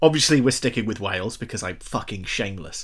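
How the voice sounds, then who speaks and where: A man's voice with vocal fry, on a very clean recording with a silent background. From London. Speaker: podcast host. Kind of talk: casual chat.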